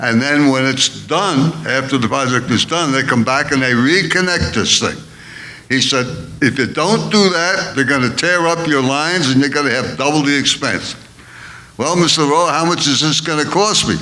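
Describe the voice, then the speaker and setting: A fairly high-pitched man at a moderate pace with ordinary pitch variation, amid noticeable background noise and audible room echo. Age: 80s+. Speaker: elderly resident speaking at public comment. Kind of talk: public comment at a board meeting.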